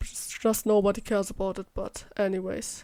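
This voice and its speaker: On a very clean recording with a silent background, a woman with a German accent speaks in a dark, mellow tone. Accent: German accent, self-described as terrible. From Germany. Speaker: YouTuber, vocal synth tuner. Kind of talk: voice-over rant.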